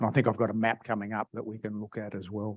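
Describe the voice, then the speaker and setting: A man speaks with an Australian accent against a quiet background. The recording is dry and close, with no echo. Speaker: agricultural engineering researcher. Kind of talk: lecture. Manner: halting, many repetitions and fillers.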